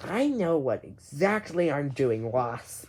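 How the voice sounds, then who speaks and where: In a put-on character voice, the speaker uses a low-to-middle pitch at a fairly slow pace. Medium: read story.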